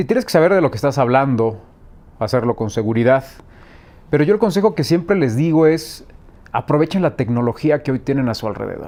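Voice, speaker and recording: At a fairly quick pace broken by long, frequent pauses, a man speaks at a fairly high pitch in a dark, mellow tone with lively intonation. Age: 40s. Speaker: sports journalist. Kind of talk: interview.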